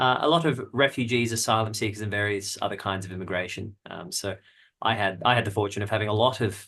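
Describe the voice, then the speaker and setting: Over a quiet background, a man with an Australian accent talks at a very fast pace, his fairly low voice carrying a bright, sharp tone and ordinary pitch variation. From Australia, Melbourne. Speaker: jazz guitarist and music researcher. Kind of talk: podcast interview. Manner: halting, many repeated words.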